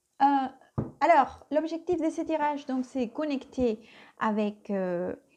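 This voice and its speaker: In a Spanish accent, a woman speaks at a very slow pace with a high pitch. Her tone is dark and mellow, and her intonation lively. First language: Spanish (speaking French). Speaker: tarot reader. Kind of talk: tarot reading. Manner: hesitant, many fillers.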